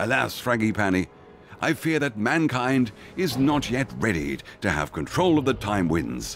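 A man's gruff, put-on character voice at medium pitch, swinging very widely in pitch at a moderate pace, with very even loudness over clear background noise. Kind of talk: comic period drama. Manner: gruff, earnest, stiff upper lip.

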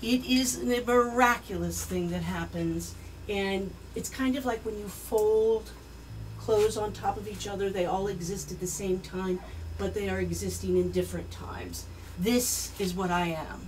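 The speech runs at a moderate pace over light background noise. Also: woman. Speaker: presenter. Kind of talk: storytelling speech to an audience. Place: bar.

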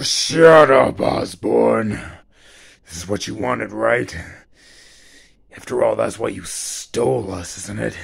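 A man uses a raspy put-on character voice with fairly low pitch, speaking at a fairly slow pace with long, frequent pauses. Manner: menacing, taunting.

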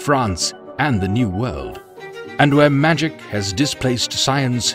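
Music plays in the background. A man talks with very wide pitch swings. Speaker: audiobook narrator. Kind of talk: audiobook trailer read.

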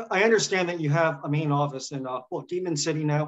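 A man with an American accent. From US South. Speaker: former intern. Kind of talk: panel interview. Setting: video call. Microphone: webcam.

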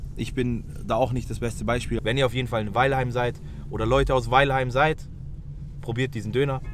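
At a fairly quick pace, the speech comes through dry with no echo, with light background noise behind it. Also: man. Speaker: food vlogger. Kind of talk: casual vlog chat. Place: car. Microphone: phone near.

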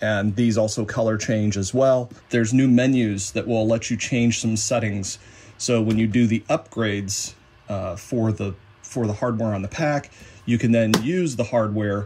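At a moderate pace, a man speaks with fairly even intonation. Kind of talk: tutorial. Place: workshop. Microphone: phone near.

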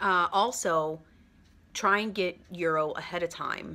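A woman speaks with a bright, sharp tone. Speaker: travel vlogger. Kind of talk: casual vlog chat. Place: home room. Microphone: phone near.

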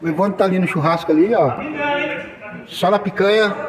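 Noticeable background noise accompanies a man who speaks at a moderate pace. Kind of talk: casual vlog chat. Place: garage. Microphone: phone near.

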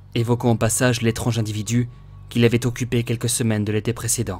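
Music plays in the background as a man speaks at medium pitch in a monotone, flat intonation. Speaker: audiobook narrator. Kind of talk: audiobook reading.

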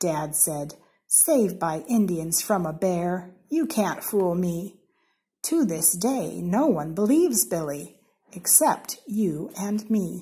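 A woman's dark, mellow, somewhat breathy voice with an American accent, lively intonation and a very slow pace. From Seattle, Washington, USA. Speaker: story reader. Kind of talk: children's storybook reading. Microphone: phone near.

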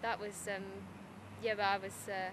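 A woman with a Teesside accent at a medium pitch, dry with no echo, over noticeable background noise. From Middlesbrough. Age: young. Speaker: writer and poet. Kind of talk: interview answer. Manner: casual, chatty. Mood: candid, slightly nervous laughter. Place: open country.

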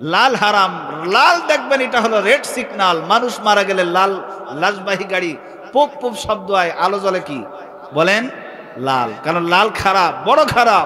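A man with a high pitch speaks in a raised, projected voice and an animated tone. His intonation is lively, with light background noise. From Bangladesh. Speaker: Islamic preacher. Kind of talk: sermon. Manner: animated storytelling with crowd call-and-response. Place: stage. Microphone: studio mic.

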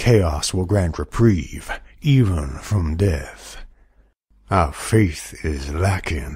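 A man puts on a character voice with a very deep, low pitch and lively intonation. He talks at a very slow pace. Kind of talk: character demo.

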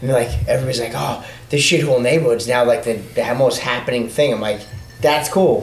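A man's medium-pitched voice with a New York accent, at a fairly quick pace with fairly even intonation, against noticeable background noise. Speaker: motorcycle rider. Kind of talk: casual chat.

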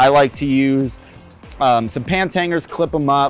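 A man at a moderate pace with ordinary pitch variation, dry sound with no echo, and faint music in the background. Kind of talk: tutorial.

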